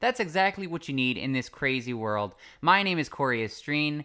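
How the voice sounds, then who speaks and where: A man's bright, sharp voice in a Canadian accent, fairly quick in pace with very wide pitch swings, on a very clean recording with a silent background. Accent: sounds Canadian. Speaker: podcast co-host. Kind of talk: casual chat.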